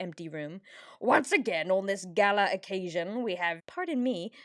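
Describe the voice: Reading aloud, plain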